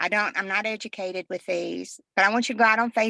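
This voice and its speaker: A woman's bright, sharp voice with vocal fry, ordinary pitch variation, a fairly quick pace and a dry, close sound with no echo. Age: 60s. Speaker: retired nurse, product testimonial giver. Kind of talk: testimony. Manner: halting.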